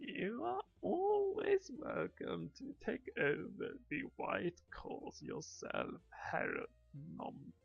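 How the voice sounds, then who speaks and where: Using a put-on character voice, a man speaks at a very slow pace with hardly any pauses. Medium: solo performance.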